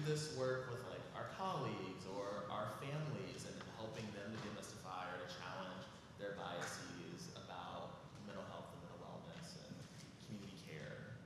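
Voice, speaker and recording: A man at a moderate pace, with big swings in loudness, audible room echo and noticeable background noise. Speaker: audience member asking question. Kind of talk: audience question. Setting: community forum in church.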